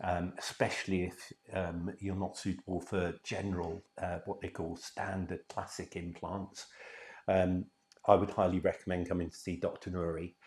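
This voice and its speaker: A man with a very deep, low voice and an English accent speaks in a monotone, flat intonation on a very clean recording with a silent background. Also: moderate pace. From England. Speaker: dental patient. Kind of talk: testimonial. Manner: hesitant, many fillers.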